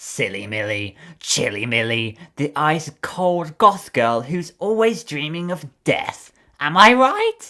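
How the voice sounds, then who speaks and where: Putting on a character voice, a man talks fairly slowly at a fairly high pitch with very wide pitch swings. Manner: mocking, sing-song.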